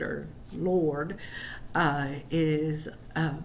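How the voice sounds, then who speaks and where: In audible room echo, a woman speaks at a fairly low pitch with fairly even intonation. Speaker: college writing instructor. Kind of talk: recorded lecture. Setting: screen-recorded video. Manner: hesitant, many fillers.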